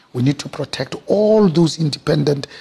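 A man's somewhat breathy voice moves at a moderate pace, its pitch varying in an ordinary way. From South Africa, township. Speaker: business executive. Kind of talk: interview. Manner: passionate, expressive.

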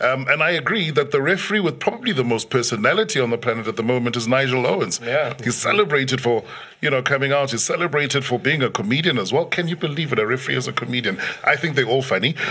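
The speech comes at a very fast pace with lively intonation. Background noise is noticeable. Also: man, medium pitch for a man. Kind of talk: casual sports chat.

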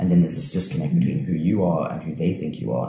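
A man speaks with a very deep, low pitch. Noticeable background noise can be heard. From Cape Town, South Africa. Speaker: playwright and actor. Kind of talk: casual chat.

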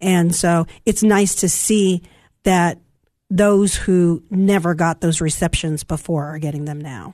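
Against a quiet background, the speaker uses an American accent at a fairly slow pace, with fairly even intonation and big swings in loudness. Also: woman, fairly low pitch for a woman. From Southern California, Santa Ana. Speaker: school interpreter and army veteran. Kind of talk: interview. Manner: hesitant, many ums.

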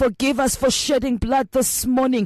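A South African accent over noticeable background noise. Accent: South African, Xhosa-accented English. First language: Xhosa. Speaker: prayer leader. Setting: radio broadcast. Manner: fervent, pleading; emphatic, rhythmic, repetitive cadence.

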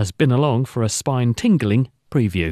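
In a quiet background with a dry, close sound and no echo, a man speaks with a British accent. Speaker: radio host. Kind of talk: scripted studio presenting and interviewing. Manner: clear, polished, formal.

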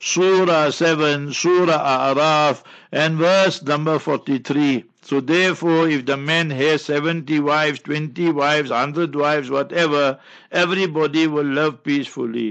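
Delivered at a fairly slow pace, a normal speaking voice keeps very even loudness and fairly even intonation. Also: man, fairly high pitch for a man. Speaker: Islamic scholar answering marriage questions. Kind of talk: advice phone-in Q&A. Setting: radio studio.

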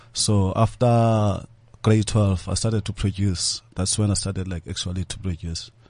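A man speaks with a fairly low, somewhat breathy voice and fairly even intonation against a quiet background. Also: moderate pace. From South Africa, Cape Town area. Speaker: DJ and music producer. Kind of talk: interview. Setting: studio.

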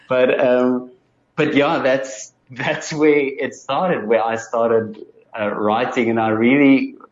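At a fairly slow pace, a man speaks with a South African accent. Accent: Afrikaans South African English. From South Africa, Free State (Bloemfontein). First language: Afrikaans. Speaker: musician and audiologist. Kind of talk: interview.

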